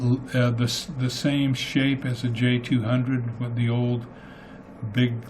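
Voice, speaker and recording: A man speaks slowly-ish, at a fairly slow pace, in a medium pitch. His intonation is monotone and flat, and audible room echo surrounds the voice. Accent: American. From US Southwest (Clayton, New Mexico). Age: 70s. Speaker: singer-songwriter. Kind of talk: radio interview. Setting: studio.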